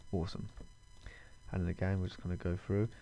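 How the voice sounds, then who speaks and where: This man has a fairly low pitch and a dark, mellow tone. He sounds somewhat breathy. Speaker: 3D modelling tutor. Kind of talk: tutorial. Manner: hesitant with fillers; fast.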